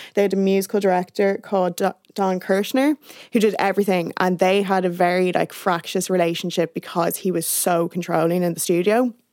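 At a fairly quick pace, a woman talks in a normal speaking voice with fairly even intonation. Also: medium pitch for a woman. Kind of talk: casual chat.

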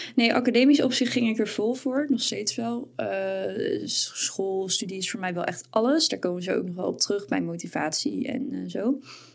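Noticeable background noise surrounds a woman as she talks. She keeps a moderate pace with hardly any pauses. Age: 20s. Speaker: podcast co-host and student. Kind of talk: casual chat.

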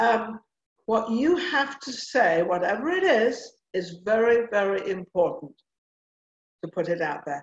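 With an English accent, a woman talks at a fairly slow pace in a fairly high pitch, her voice making very wide pitch swings and broken by long, frequent pauses. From England. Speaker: TV talk show host and former actress/model. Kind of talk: casual interview chat. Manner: animated.

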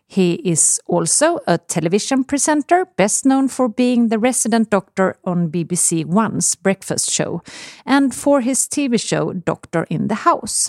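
A woman with a Swedish accent at a fairly high pitch, with very wide pitch swings, a fairly slow pace, hardly any pauses and a dry, close sound with no echo. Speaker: podcast host, health author. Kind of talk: casual chat.

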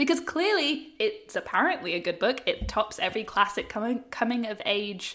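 At a moderate pace, a woman with an Australian accent speaks in a high voice with very wide pitch swings. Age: 30s. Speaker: journalist and podcast co-host. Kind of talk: casual chat. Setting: remote call.

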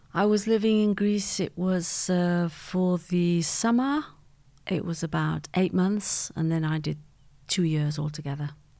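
A woman with a Mancunian accent speaks at a fairly slow pace in a fairly low pitch with ordinary pitch variation. Her tone is dark and mellow, on a very clean recording with a silent background. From Manchester, England. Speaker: podcast guest, host's mother. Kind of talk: casual interview.

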